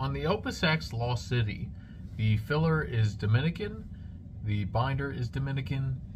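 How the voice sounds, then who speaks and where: A man is speaking. Audible echo fills the room. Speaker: cigar reviewer and cigar shop salesman. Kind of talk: product review to camera. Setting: cigar shop, alone on camera. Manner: halting, self-described stuttering on camera.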